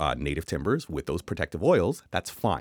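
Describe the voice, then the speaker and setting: In a Canadian accent, a man speaks with very wide pitch swings, in a dry, close sound with no echo. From Canada. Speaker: building designer. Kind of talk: casual chat.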